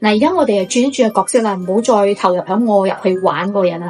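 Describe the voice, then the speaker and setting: A woman's fairly high voice with ordinary pitch variation, set against background music. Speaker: YouTube host, storyteller. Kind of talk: casual ghost story told to camera. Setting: poor microphone recording.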